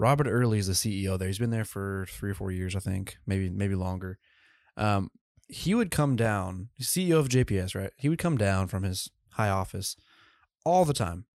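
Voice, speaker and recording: The recording is very clean, and the background is silent. It has an ordinary speaking voice with ordinary pitch variation. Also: man, fairly low pitch for a man, moderate pace. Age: young. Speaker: podcast host. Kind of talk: casual interview.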